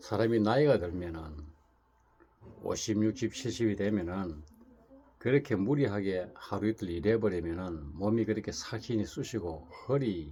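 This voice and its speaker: Somewhat breathy and dark, mellow in tone, a man talks at a fairly low pitch and fairly slow pace with lively intonation. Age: 60s. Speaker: Buddhist monk. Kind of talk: casual talk to camera. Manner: rambling with repetitions.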